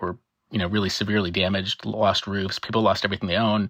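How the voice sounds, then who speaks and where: On a very clean, dry, close recording with a silent background and no echo, a man with an American accent and a fairly low pitch talks at a very fast pace. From US. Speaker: marine biologist. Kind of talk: interview. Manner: fast when excited; animated.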